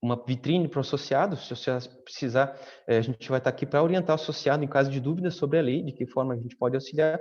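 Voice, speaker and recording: Fairly high for a man yet dark and mellow in tone, his voice races at a very fast pace with fairly even intonation. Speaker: data protection officer. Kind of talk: panel discussion. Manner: halting, many fillers.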